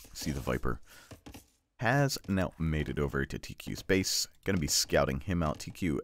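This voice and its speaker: Lively intonation and vocal fry mark this voice, which moves at a moderate pace. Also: man. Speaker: game caster. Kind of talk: live commentary. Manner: stumbles over words; casual, filler-heavy.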